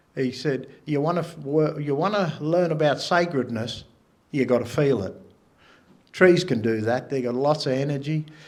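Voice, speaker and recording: A man at a fairly slow pace, with ordinary pitch variation and audible room echo. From Australia, NSW south coast. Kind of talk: public talk. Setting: stage with audience.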